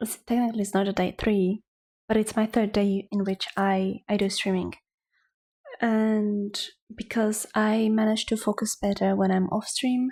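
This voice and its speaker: Soft-spoken and dark, mellow in tone, the voice holds a monotone, flat intonation at a moderate pace with very even loudness. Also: woman, fairly high pitch for a woman. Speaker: artist streamer. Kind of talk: casual chat. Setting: home livestream. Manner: quiet, hushed; ASMR-like soft.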